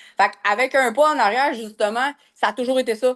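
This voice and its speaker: Her pitch is high as this woman talks at a moderate pace. Her intonation stays fairly even. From Quebec, North Shore of Montreal. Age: 40s. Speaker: massage therapist and business coach. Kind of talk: podcast interview. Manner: hesitant, many fillers.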